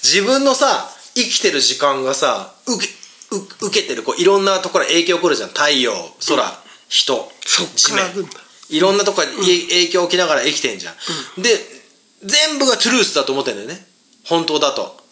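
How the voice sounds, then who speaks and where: A man at a moderate pace in an animated tone, with noticeable background noise. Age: 40s. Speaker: podcast host and band guitarist. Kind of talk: casual chat.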